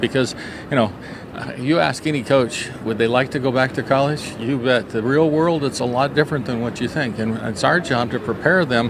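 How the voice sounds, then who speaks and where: A man speaks with ordinary pitch variation. Noticeable background noise and audible room echo fill the recording. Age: 60s. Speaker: softball coach. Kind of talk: interview. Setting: coaches convention.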